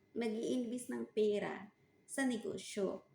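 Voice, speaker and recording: A woman talks at a very slow pace in a fairly high pitch with ordinary pitch variation. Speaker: vlogger, overseas worker running a side business. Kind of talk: casual vlog talk. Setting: kitchen.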